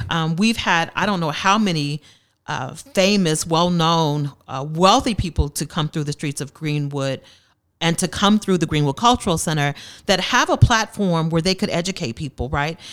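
In a very clean recording with a silent background, a woman with an American accent and a normal speaking voice talks at a moderate pace, her fairly low pitch showing ordinary pitch variation. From Tulsa, Oklahoma. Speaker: cultural center program director. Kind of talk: interview.

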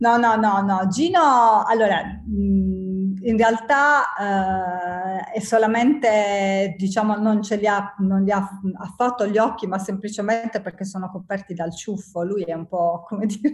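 Her words come out very slowly. The woman's voice has a somewhat breathy quality. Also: medium pitch for a woman, ordinary pitch variation. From southern Italy, Apulia (province of Bari). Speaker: ceramic artist and graphic designer. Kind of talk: casual interview chat.

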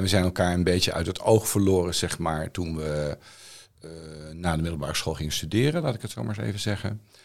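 Speaking at a very fast pace, a man with a very deep, low pitch shows ordinary pitch variation in a very clean recording with a silent background. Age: 50s. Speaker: songwriter and philosophy student. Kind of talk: casual chat.

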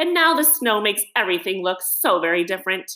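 Someone reads the text aloud plainly.

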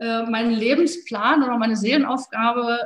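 A woman speaks at a moderate pace in a fairly high pitch. Her intonation stays fairly even. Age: 40s. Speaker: police officer and yoga teacher. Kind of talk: interview. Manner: hesitant fillers.

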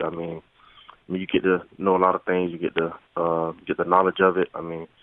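The speaker has a Southern US accent. The intonation stays monotone and flat. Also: man. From US South, rural Florida. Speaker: college football player. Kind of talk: phone interview.

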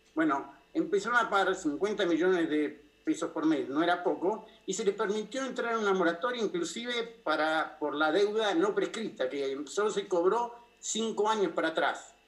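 Noticeable background noise sits behind a man talking at a moderate pace in a high pitch with lively intonation. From Argentina, Buenos Aires. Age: 60s. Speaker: political asylum seeker, former official. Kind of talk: interview.

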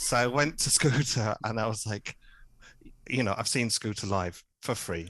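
A man in a southern English accent at a moderate pace, medium in pitch with ordinary pitch variation, long, frequent pauses and a quiet background. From southern England, Hertfordshire. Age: 30s. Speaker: podcast guest, music podcaster. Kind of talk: casual chat.

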